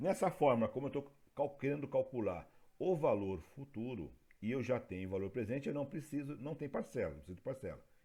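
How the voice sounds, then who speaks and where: A man with a dark, mellow tone and vocal fry talks at a fairly quick pace with lively intonation. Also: fairly high pitch for a man, very clean recording, silent background. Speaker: teacher. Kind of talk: lecture.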